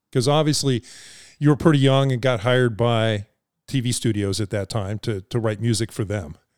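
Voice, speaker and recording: Dry and close with no echo, a man at medium pitch speaks at a moderate pace with ordinary pitch variation on a very clean recording with a silent background. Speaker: podcast co-host. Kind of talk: casual interview. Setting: studio. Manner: halting, many fillers.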